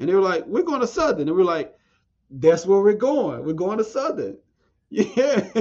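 With an American accent, a man speaks at a moderate pace in a high pitch that swings very widely. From southwest Louisiana and Texas. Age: 40s. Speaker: agriculture educator. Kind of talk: interview.

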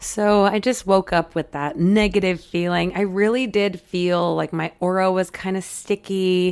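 A raspy voice at a fairly slow pace, with fairly even intonation. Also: woman. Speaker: psychic medium and astrologer podcast host. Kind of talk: casual solo podcast talk. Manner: hesitant, with fillers.

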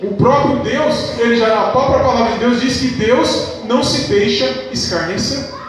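A man with a Brazilian accent speaks in an extremely high voice at a fairly slow pace. His pitch variation is ordinary, and noticeable background noise is present. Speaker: preacher. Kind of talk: sermon. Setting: church. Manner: earnest, fervent preaching, rhetorical questions, calls for 'amém'; formal, measured, reading scripture aloud.

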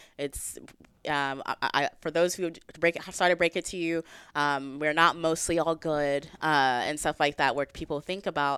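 At a moderate pace, a woman with a very deep, low pitch speaks with fairly even intonation and big swings in loudness. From Texas. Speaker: gun rights advocate. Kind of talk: casual chat.

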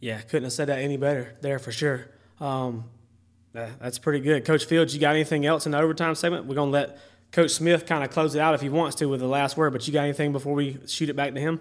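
A man with a Southern US accent and a fairly high voice talks very fast. The recording is very clean with a silent background. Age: 30s. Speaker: podcast host, football coach. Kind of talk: casual interview.

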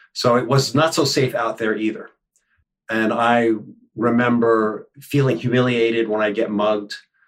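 A man speaks in a plain, everyday voice with an American accent, his pitch sitting at a medium level. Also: fairly even intonation, moderate pace. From New York City, Upper West Side. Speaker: conflict coach. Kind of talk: interview.

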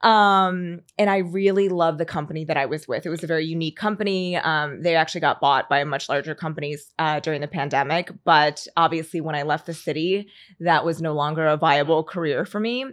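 A woman with an American accent has an ordinary speaking voice at a fairly low pitch. She talks at a fairly quick pace with ordinary pitch variation. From US, Philadelphia area. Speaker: content creator. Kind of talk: casual chat.

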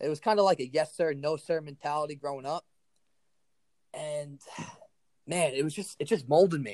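An energetic man with an American accent and fairly high pitch speaks at a moderate pace, his pitch varying in an ordinary way, with long, frequent pauses. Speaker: strength coach. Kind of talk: casual chat.

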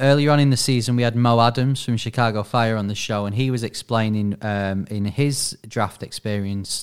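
With an English accent, the speaker talks at a moderate pace with hardly any pauses and fairly even intonation on a very clean recording with a silent background. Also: man. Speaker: radio producer and podcast co-host. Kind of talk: casual chat and interview.

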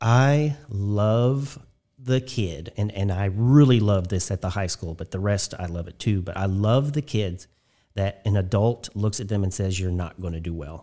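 On a very clean recording with a silent background, a man with an American accent uses a normal speaking voice, fairly low in pitch, fairly slow, with ordinary pitch variation. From southern Indiana (Spencer County). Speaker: nonprofit executive director. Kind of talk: casual interview. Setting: studio.

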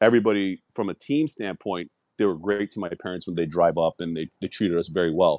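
A man with a Toronto accent speaks at a very fast pace in a very deep, low voice with ordinary pitch variation. The sound is dry and close, with no echo. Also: very clean recording, silent background. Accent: Canadian (Toronto). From Toronto, Canada. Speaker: former hockey player. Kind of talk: interview.

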